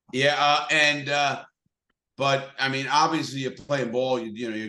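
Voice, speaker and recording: Speaking at a fairly quick pace, a man with a strong New York accent has a bright, sharp tone. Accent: thick New York. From New York City (Bronx, Brooklyn). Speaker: motivational speaker, ex-convict. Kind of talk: podcast interview.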